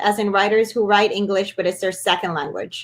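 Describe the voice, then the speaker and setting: A woman with a Spanish accent. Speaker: author and webinar host. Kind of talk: live webinar Q&A. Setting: live online webinar.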